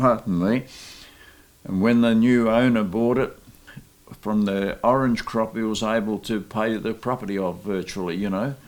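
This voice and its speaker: In an Australian accent, a man speaks at a moderate pace. His intonation stays fairly even. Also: medium pitch for a man. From Australia, Mildura region. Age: 80s+. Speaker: interviewee, descendant of immigrants. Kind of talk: oral history testimony.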